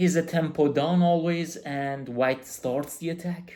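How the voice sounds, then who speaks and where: A man with a non-native accent and a dark, mellow tone speaks at a moderate pace. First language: not English. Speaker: chess coach. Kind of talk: chess game analysis tutorial. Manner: halting.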